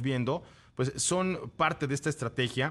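Against a quiet background, a man speaks with a Mexican accent. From Mexico, Cuernavaca. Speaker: radio host. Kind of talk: casual chat.

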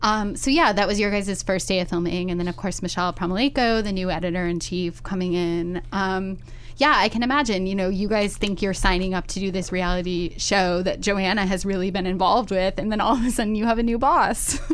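Speaking at a fairly quick pace with hardly any pauses, a woman uses a medium pitch and ordinary pitch variation. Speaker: podcast host. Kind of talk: casual chat. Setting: studio. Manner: animated.

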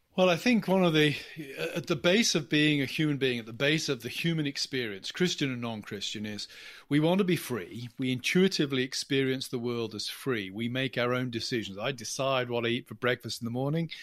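A man with a medium pitch and lively intonation talks at a fairly quick pace on a very clean recording with a silent background. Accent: English. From England. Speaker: college professor and author. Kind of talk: interview.

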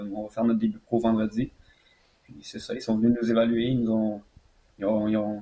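At a fairly quick pace but with long, frequent pauses, a man speaks in a medium pitch with monotone, flat intonation. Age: 20s. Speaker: mixed martial arts fighter. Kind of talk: interview.

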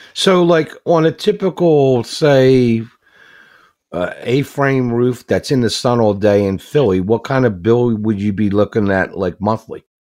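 A man with a medium pitch speaks at a fairly slow pace, his intonation lively. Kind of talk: radio DJ patter, upbeat show-host banter. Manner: energetic, bright and punchy, upbeat sign-off.

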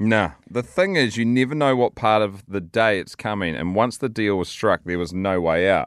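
Against a quiet background, a man with a New Zealand accent speaks at a moderate pace with hardly any pauses, his fairly low pitch showing ordinary variation. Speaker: podcast host. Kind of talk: casual chat.

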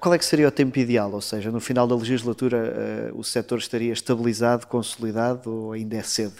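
With a plain, everyday voice, a man of medium pitch talks at a fairly quick pace with hardly any pauses and fairly even intonation. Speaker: political journalist. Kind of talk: interview.

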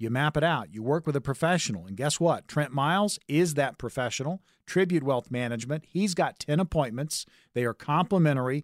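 This man has a plain, everyday voice at a fairly high pitch, captured with a dry, close sound and no echo. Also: lively intonation. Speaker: radio host and consumer advocate. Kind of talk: sales pitch. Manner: urgent, punchy, repeating the phone number.

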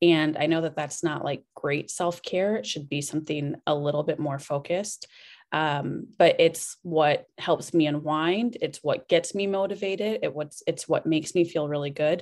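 The speaker talks at a moderate pace with a Midwestern US accent and hardly any pauses. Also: woman, very deep, low pitch for a woman, ordinary pitch variation. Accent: US Midwest. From Iowa, US Midwest (Cedar Rapids). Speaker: business consultant and restaurant co-owner. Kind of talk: interview.

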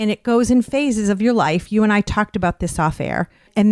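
This woman has an ordinary speaking voice, medium in pitch with ordinary variation, at a fairly quick pace. The recording is very clean, with a silent background and a dry, close sound with no echo. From Western Massachusetts (Westfield). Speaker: radio host. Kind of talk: casual interview chat.

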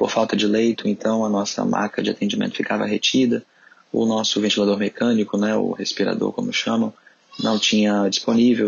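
Noticeable background noise surrounds the recording. A man speaks at a fairly quick pace. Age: 30s. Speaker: emergency doctor. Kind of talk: interview.

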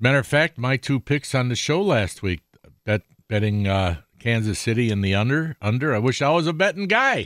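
In an American accent, the speaker moves at a fairly quick pace with very wide pitch swings and very even loudness, captured in a very clean, dry, close recording with no echo and a silent background. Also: man, medium pitch for a man. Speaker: outdoors radio host. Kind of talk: live radio talk show. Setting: radio studio.

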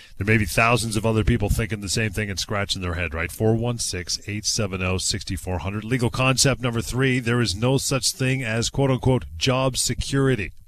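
With noticeable background noise, a man of medium pitch speaks at a moderate pace with ordinary pitch variation and hardly any pauses. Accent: Canadian. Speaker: radio host. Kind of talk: radio talk show. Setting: studio.

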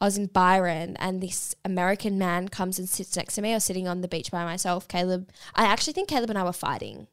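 In an Australian accent, a woman talks at a very fast pace with a medium pitch, hardly any pauses and fairly even intonation. The recording is very clean, with a silent background. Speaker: podcast co-host. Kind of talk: casual chat. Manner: quieter than co-host.

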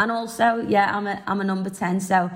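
A woman with a Liverpool accent, medium in pitch, at a moderate pace with fairly even intonation. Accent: Liverpool (Scouse). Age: 20s. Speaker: singer-songwriter and footballer. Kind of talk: casual interview.

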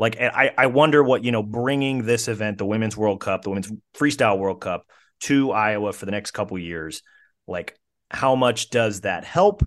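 A man's plain, everyday voice at a medium pitch and moderate pace, with ordinary pitch variation against a quiet background. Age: 30s. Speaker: newspaper wrestling writer and podcast host. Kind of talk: casual interview chat.

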